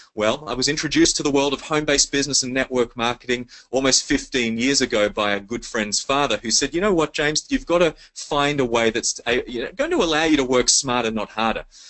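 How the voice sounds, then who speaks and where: A man talks at a very fast pace with hardly any pauses. His pitch is fairly high, with ordinary variation. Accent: Australian. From Sydney, Australia. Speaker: network marketing leader. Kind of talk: sales pitch webinar. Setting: conference call. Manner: animated.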